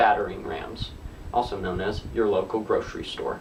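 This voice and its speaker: A man speaks at a moderate speed while noticeable background noise continues behind him. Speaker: comedy vlogger. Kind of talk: scripted humorous monologue.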